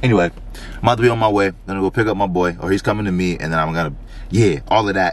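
A man talks at a very fast pace, the sound dry with no echo. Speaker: vlogger. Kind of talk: casual vlog chat. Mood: grateful, sentimental. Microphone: phone near.

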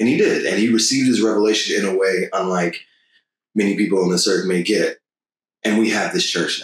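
A man talks at a fairly quick pace with an American accent. His loudness swings widely. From Dallas, Texas. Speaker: podcast host, church member. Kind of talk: casual panel discussion.

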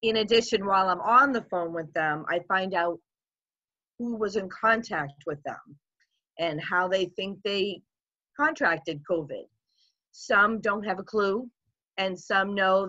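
A woman reads at a fairly slow pace with ordinary pitch variation. Her speech has long, frequent pauses over a quiet background. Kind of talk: interview answer. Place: home room. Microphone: video call.

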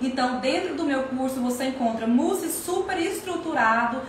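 With audible room echo and light background noise, a woman speaks at a fairly slow pace in a high pitch. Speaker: course seller. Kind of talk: casual live Q&A promotion. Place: kitchen. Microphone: phone near.

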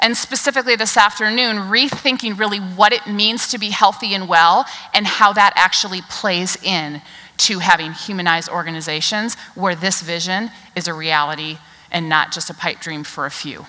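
Her pace is moderate. The woman's pitch shifts in an ordinary way. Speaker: keynote speaker. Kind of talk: keynote speech. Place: stage.

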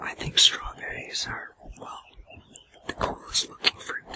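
A soft-spoken man whispering at a fairly slow pace over light background noise. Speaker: food vlogger. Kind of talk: casual vlog chat. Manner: soft close ASMR whisper. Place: forest.

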